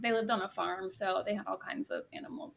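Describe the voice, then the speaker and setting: A woman speaks with an American accent and a fairly high pitch. Her tone is bright and sharp. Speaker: podcast guest, artist and podcaster. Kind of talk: casual interview conversation. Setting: remote recording.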